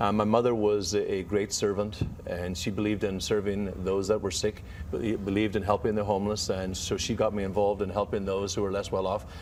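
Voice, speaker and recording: Fairly quick, monotone delivery with flat intonation, in an Irish accent. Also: man, fairly low pitch for a man. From Ireland. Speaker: author and health expert. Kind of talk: TV interview.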